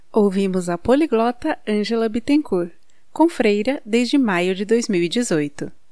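Very slowly, a woman with a fairly high pitch and a dark, mellow tone speaks with lively intonation. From Brazil, Guarulhos, São Paulo. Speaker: podcast host. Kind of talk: scripted narration.

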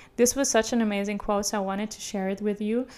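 A woman's fairly high voice with fairly even intonation, music in the background. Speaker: podcast host. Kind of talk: casual monologue. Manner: relaxed, laid back.

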